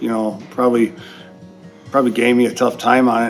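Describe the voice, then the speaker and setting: A man speaks at a medium pitch with fairly even intonation. Music plays in the background. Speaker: electrical power distribution instructor. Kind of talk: interview answer.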